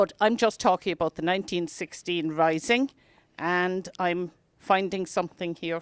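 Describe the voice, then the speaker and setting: Recorded very cleanly against a silent background, a woman with an Irish accent speaks at a fairly low pitch, the sound dry and close with no echo. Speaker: talk presenter on Irish history. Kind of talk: public talk. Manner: soft-spoken; halting.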